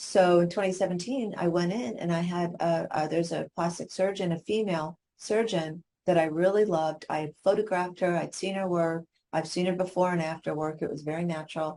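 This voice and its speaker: A woman's fairly low, dark and mellow voice at a fairly quick pace, with fairly even intonation. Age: 60s. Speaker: brand photographer. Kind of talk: interview conversation. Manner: halting, with many repeated words.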